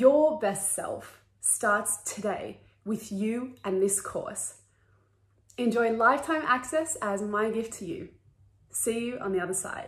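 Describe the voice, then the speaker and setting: Somewhat breathy, a woman talks at a very slow pace with lively intonation. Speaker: wellness course creator.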